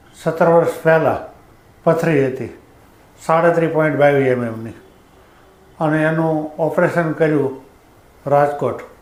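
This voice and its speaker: Audible room echo surrounds this man's voice. He speaks fairly high with fairly even intonation. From Saurashtra, Gujarat (near Dhari, Amreli). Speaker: patient giving testimony, Brahmin priest. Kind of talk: testimony. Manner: halting.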